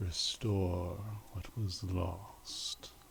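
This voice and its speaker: A man puts on a character voice, pitched very deep and low. Clear background noise can be heard. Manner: resonant, weighty.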